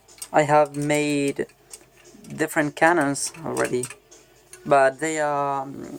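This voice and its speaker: Over music in the background, a man speaks very slowly at a fairly high pitch, flat and monotone, with long, frequent pauses. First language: Spanish. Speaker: hobbyist gunsmith vlogger. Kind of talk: casual show-and-tell video. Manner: halting, with many fillers.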